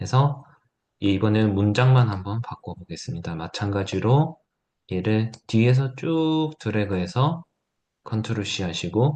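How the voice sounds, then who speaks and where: With a dark, mellow tone, a man speaks at a fairly slow pace using lively intonation. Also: medium pitch for a man, quiet background. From South Korea, Gyeongsang (Gyeongju). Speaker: teacher giving a workshop. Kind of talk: tutorial.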